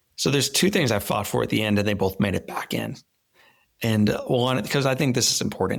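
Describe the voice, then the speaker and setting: With an American accent and vocal fry, a man speaks at a fairly quick pace, fairly low in pitch, with ordinary pitch variation and very even loudness. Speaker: motivational speaker. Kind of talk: interview. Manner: halting; animated.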